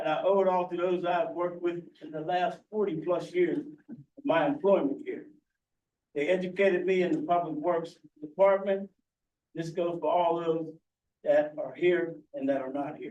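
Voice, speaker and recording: Audible room echo surrounds a man with a high pitch and ordinary pitch variation. He talks at a moderate pace, with big swings in loudness. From Pittsburgh area. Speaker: public works employee. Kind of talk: acceptance speech. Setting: council meeting room.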